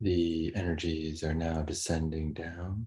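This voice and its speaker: A very slow, calm voice with a dark, mellow tone, somewhat breathy and monotone in its flat intonation. The recording is very clean against a silent background. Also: man. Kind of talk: guided meditation. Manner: slow, soft-spoken, calm; gentle, long pauses.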